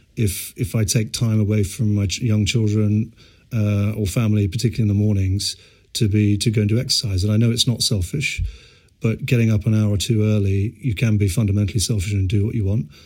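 A man talks at a very fast pace with a fairly low pitch, somewhat breathy, with very even loudness and fairly even intonation. The recording is very clean, with a silent background. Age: 40s. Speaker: startup founder and CEO. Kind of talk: interview.

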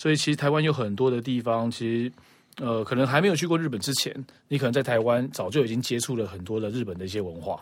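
A man at medium pitch talks very fast, with lively intonation. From Taiwan. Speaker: podcast guest. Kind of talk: casual chat.

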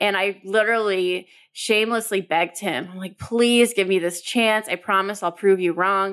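With hardly any pauses, a woman talks in a normal speaking voice at medium pitch and a moderate pace, her intonation fairly even in a very clean recording with a silent background. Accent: American. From US, Southern California (Orange County). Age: 30s. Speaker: customer experience consultant and author. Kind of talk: interview.

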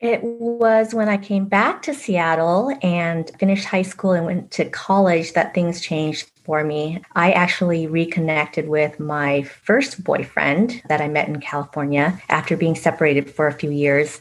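In a Vietnamese accent, a woman speaks at a moderate pace with a fairly low pitch, ordinary pitch variation and hardly any pauses. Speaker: author. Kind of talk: casual interview.

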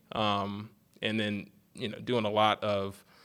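Very slow speech in an American accent, bright and sharp in tone, on a very clean recording with a silent background. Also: man. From Eastern Shore of Maryland, US. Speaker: athletic trainer. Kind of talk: podcast interview. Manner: halting, many fillers.

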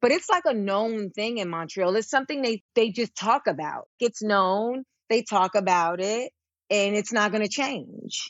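A woman's fairly high pitch with lively intonation, an energetic tone, and a fairly slow pace. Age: 30s. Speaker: stand-up comedian and actress. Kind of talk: casual chat.

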